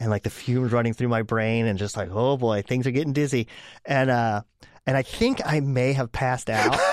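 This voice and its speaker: With an American accent and an unremarkable speaking voice, a man of medium pitch talks at a fairly quick pace with ordinary pitch variation against a quiet background. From Pittsburgh area, Pennsylvania, US. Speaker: illustrator and radio DJ. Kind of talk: casual chat.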